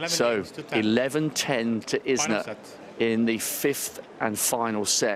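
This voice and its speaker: Against noticeable background noise, a man with a medium pitch and ordinary pitch variation speaks at a very slow pace. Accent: British. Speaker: courtside tennis reporter. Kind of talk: live commentary. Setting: courtside in a stadium crowd. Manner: speaking quietly.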